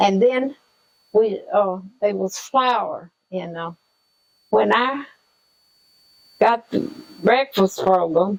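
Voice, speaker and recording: With a Southern US accent, a woman speaks at a very slow pace and medium pitch, leaving long, frequent pauses. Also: ordinary pitch variation. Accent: Southern American. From Southern United States. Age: 80s+. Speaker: retired school lunchroom worker. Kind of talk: interview answer.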